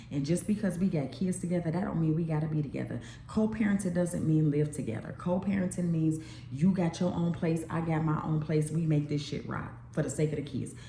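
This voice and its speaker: Speaking at a fairly quick pace in an animated tone, a woman with a very deep, low pitch comes through amid audible room echo and noticeable background noise. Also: ordinary pitch variation. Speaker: YouTube vlogger. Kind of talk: casual monologue vlog.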